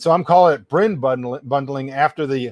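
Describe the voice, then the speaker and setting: Recorded very cleanly with a silent background and a dry, close sound with no echo, a man with an American accent speaks at a fairly high pitch with ordinary pitch variation. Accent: Texas accent, at times. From US South. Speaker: livestream host and writer. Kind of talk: live-stream rant and lecture. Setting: solo live stream with audience chat. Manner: casual, many fillers (uh, um).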